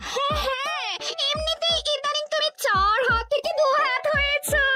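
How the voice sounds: Over clear music in the background, a woman puts on a cartoonish character voice at an extremely high pitch and a fairly slow pace.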